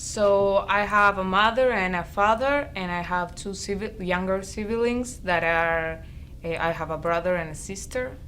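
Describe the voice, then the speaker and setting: A woman talks at a medium pitch with ordinary pitch variation. Her pace is fairly slow, and there is audible room echo. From Argentina, Buenos Aires. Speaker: college student. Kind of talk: interview.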